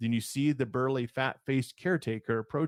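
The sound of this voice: An unforced reading voice carries the clip.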